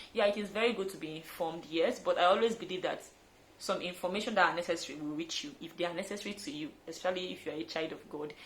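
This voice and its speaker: Her loudness swings widely as a woman talks at a very fast pace. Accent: Nigerian. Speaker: fitness trainer. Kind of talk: vlog tutorial. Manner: animated.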